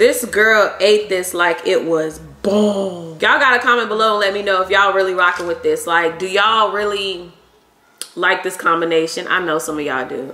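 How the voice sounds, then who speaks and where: Audible room echo surrounds a woman's voice. She moves at a moderate pace with ordinary pitch variation. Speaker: food vlogger. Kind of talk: casual vlog chat. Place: kitchen.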